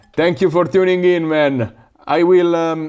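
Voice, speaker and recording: The speech has a strong Italian accent and a moderate pace. The tone is dark and mellow. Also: man. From Italy, northern Lazio. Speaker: FPV drone YouTuber. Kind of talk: livestream chat and build tutorial. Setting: live stream at home workshop. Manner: casual, hesitant with fillers.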